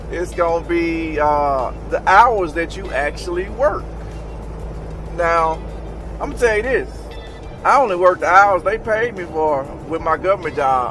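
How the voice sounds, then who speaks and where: A man speaks at a fairly slow pace, leaving long, frequent pauses. Faint music plays behind his dry voice, which has no echo. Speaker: truck driver vlogger. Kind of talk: casual vlog chat. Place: car. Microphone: phone near.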